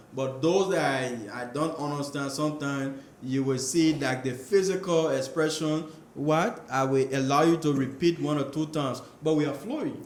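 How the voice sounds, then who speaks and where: Noticeable background noise and audible room echo surround the recording. A man speaks with fairly even intonation. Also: fairly high pitch for a man, moderate pace. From Liberia. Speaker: international student. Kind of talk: casual interview. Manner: hesitant, repeats words.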